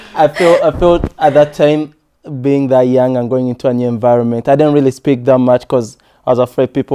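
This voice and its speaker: A man with a slight non-native accent speaks at a fairly quick pace with a medium pitch and fairly even intonation. His tone is dark and mellow, in a dry, close sound with no echo. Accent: foreign accent, slight. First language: not English. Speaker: podcast co-host. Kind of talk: casual chat. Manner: halting.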